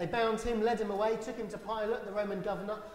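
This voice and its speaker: The speech comes at a very fast pace. Room echo is audible. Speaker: church minister. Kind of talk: sermon with Bible reading. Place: church.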